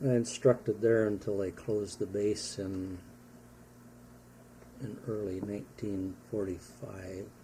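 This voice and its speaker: A man with an American accent speaks at a fairly slow pace, his voice somewhat breathy. His intonation stays monotone and flat, broken by long, frequent pauses. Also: fairly low pitch for a man. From Wisconsin, USA. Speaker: war veteran. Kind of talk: interview answer.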